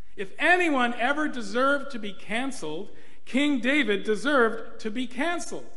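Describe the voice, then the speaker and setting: A man talks in a raised, projected voice. His pace is fairly slow. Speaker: clergy preacher. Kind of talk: sermon. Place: church. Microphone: podium.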